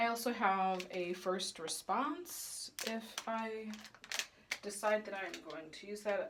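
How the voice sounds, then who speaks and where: A woman with an American accent at medium pitch, very slow, with ordinary pitch variation, big swings in loudness and noticeable background noise. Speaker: fertility vlogger. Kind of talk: casual vlog.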